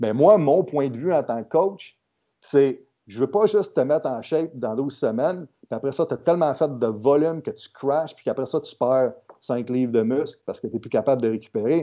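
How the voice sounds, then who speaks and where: In a quiet background, a man with a fairly high pitch and a dark, mellow tone speaks at a moderate pace, his intonation lively and his loudness swinging widely. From Quebec. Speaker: strength coach. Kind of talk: casual interview.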